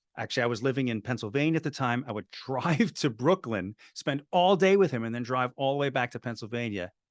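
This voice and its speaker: In an ordinary speaking voice, a man talks fairly quickly at a medium pitch with lively intonation and hardly any pauses, the sound dry and close with no echo and a quiet background. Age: 60s. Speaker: filmmaker. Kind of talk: interview. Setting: video call.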